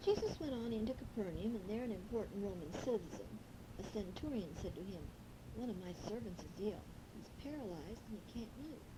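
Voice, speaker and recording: A woman at a fairly high pitch with lively intonation and a fairly quick pace, over noticeable background noise. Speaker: grandmother reading a children's Bible story on tape. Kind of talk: children's bible story reading.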